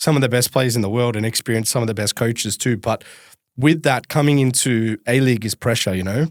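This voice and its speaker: Speaking with an Australian accent, a man keeps a medium pitch and fairly even intonation at a fairly quick pace. The recording is very clean, with a silent background. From Melbourne, Australia. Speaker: podcast host. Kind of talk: casual interview chat. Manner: fast.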